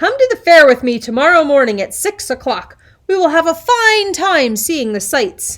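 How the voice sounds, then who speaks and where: Bellowing at a moderate pace, a woman uses a put-on character voice with extremely high pitch and very wide pitch swings. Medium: read story. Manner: roaring, scheming.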